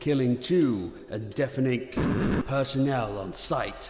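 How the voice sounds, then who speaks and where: Music plays in the background as a man speaks. His pitch is medium and his pace fairly slow. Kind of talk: fiction narration, horror story reading.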